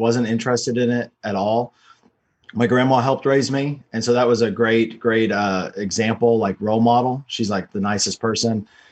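A man speaks in an unremarkable speaking voice at a moderate pace and a medium pitch. His intonation is fairly even, and the background is quiet. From US, Texas (Dallas suburb). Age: 40s. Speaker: real estate investor and entrepreneur. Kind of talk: casual interview.

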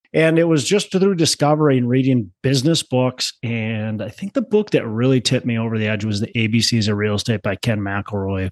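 A man with an American accent talks at a fairly quick pace in an ordinary speaking voice, pitched in the medium range. His intonation is lively, and the background is quiet. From Minnesota, Twin Cities. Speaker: real estate investor, former teacher. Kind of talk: podcast interview. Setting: remote call.

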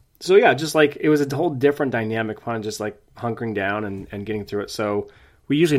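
A man's normal speaking voice at a medium pitch, with ordinary pitch variation, on a very clean recording with a silent background. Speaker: podcast co-host, parent. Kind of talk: casual chat.

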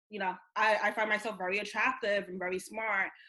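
At a fairly quick pace, a woman with an American accent talks at medium pitch with fairly even intonation. It is an unremarkable speaking voice. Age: 20s. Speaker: founder of a sobriety community. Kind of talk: personal testimony in interview.

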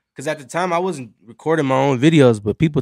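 With an American accent, a man talks at a fairly quick pace in a plain, everyday voice with ordinary pitch variation. The sound is dry and close with no echo, on a very clean recording with a silent background. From Los Angeles County, California. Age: 20s. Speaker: rapper and singer. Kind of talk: casual chat. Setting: studio.

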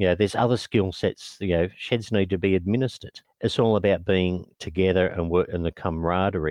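At a fairly quick pace, a man with an Australian accent speaks in a very deep, low pitch, with very even loudness and fairly even intonation. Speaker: non-profit executive officer. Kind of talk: interview.

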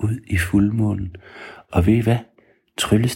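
Quiet surroundings behind a natural reading voice, its intonation fairly even

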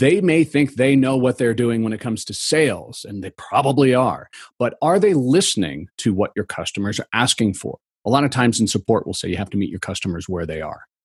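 Vocal fry colors this fairly quick delivery in an American accent, with very wide pitch swings, a dry, close sound with no echo, and a quiet background. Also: man, medium pitch for a man. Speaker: customer experience consultant. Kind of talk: interview.

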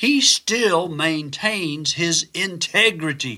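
A man with a fairly high pitch and a bright, sharp tone speaks at a very slow pace with very wide pitch swings, on a very clean recording with a silent background. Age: 60s. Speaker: physician and devotional speaker. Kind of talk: devotional Bible teaching.

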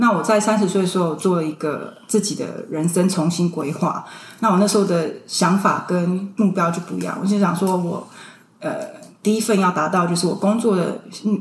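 Through noticeable background noise and audible room echo, a woman talks at a fairly quick pace with medium pitch and fairly even intonation. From Taiwan (Tainan), moved to US at 16. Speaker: early retiree sharing personal finance experience. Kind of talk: casual interview.

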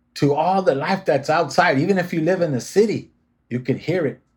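A man's somewhat breathy voice keeps its intonation fairly even. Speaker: podcast host. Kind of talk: podcast interview.

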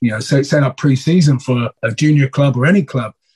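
Somewhat breathy, a man speaks at a fairly quick pace in a dry, close sound with no echo. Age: 40s. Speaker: rugby coach. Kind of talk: interview.

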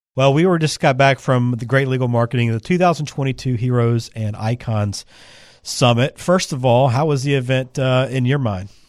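A man with an unremarkable speaking voice and medium pitch at a fairly quick pace, on a very clean recording with a silent background. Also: ordinary pitch variation. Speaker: podcast host. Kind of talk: casual interview chat.

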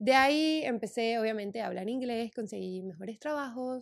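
A woman with an unremarkable speaking voice talks at a moderate pace. Her pitch is fairly high and her intonation lively. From Santa Cruz de la Sierra, Bolivia. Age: 20s. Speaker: podcast host. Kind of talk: personal storytelling monologue.

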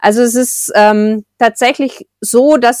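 An unremarkable speaking voice at a fairly slow pace with ordinary pitch variation, dry, close sound with no echo, and a very clean recording with a silent background. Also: woman. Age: 40s. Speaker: book blogger. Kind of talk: interview.

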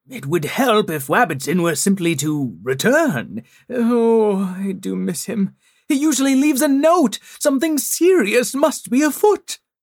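This is a put-on character voice at a fairly high pitch. Its pitch swings very widely. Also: moderate pace. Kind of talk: children's story audio drama. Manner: worried, frantic, precise.

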